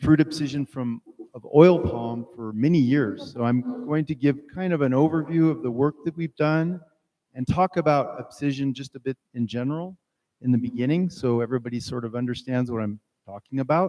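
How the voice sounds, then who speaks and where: In a strong French accent, a man speaks at a moderate pace with a fairly high pitch, ordinary pitch variation and a dark, mellow tone, the sound dry and close with no echo. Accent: heavy French. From France. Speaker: plant biology researcher. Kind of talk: lecture.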